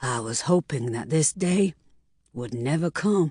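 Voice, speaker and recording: A put-on character voice, female-sounding and raspy, sits at a low-to-middle pitch. It moves at a moderate pace. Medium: read story. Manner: hoarse, cracking voice.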